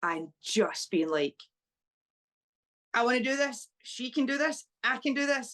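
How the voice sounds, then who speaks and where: With a Scottish accent, a woman speaks high and fairly slowly, her pitch swinging very widely, with long, frequent pauses and a dry, close sound with no echo. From Scotland, small town. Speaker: professional wrestler. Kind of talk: interview.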